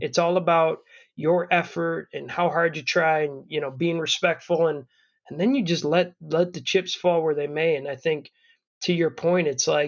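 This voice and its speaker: A man speaks in an ordinary speaking voice, fairly high in pitch and at a moderate pace. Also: fairly even intonation. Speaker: podcast host, father. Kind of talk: casual podcast conversation.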